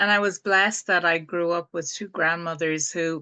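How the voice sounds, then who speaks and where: A woman with an Irish accent speaks fairly slowly at a fairly low pitch, her tone bright and sharp. The sound is dry and close with no echo against a quiet background. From Ireland. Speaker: spiritual teacher and healer. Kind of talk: group talk on a video call.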